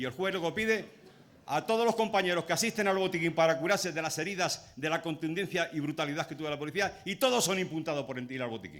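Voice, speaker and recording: A man at a high pitch, talking at a very fast pace with ordinary pitch variation. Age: 60s. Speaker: trade unionist. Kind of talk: speech at a public rally. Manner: impassioned.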